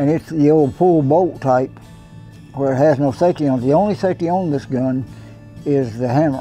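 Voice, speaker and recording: Music plays faintly in the background. Over it, a man talks. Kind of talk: interview answer. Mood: relaxed, reminiscing. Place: home room.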